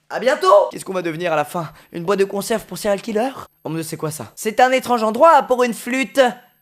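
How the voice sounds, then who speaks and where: A man at a high pitch, very fast and animated, with lively intonation, big swings in loudness and hardly any pauses. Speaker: gaming youtuber. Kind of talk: let's play commentary.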